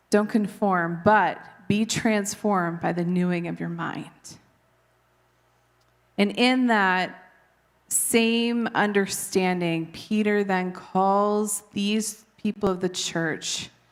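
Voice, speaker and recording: A woman speaks at medium pitch and a very slow pace, her intonation fairly even. Audible room echo surrounds her voice. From Canada. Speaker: preacher. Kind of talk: sermon.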